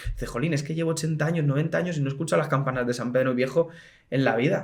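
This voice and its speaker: Talking at a very fast pace, a man with a fairly high, somewhat breathy voice shows ordinary pitch variation, with audible room echo around him. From Spain, Madrid. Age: 20s. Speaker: bell ringer, association president. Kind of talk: casual interview chat. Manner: animated.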